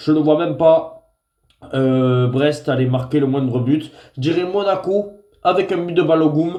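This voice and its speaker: A man with a fairly high pitch and a dark, mellow tone speaks at a fairly slow pace with ordinary pitch variation. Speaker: football tipster. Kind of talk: football predictions vlog. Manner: hesitant with frequent fillers.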